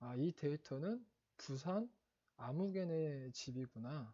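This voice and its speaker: A man's fairly high voice with a dark, mellow tone and lively intonation, dry and close with no echo. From Seoul, South Korea. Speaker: exam prep instructor. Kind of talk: lecture. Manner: halting, many fillers and self-corrections.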